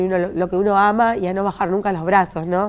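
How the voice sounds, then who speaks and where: A woman talks at a fairly quick pace. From Argentina, Pergamino; Argentina. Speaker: city councillor. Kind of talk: interview. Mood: warm, grateful. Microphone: lapel.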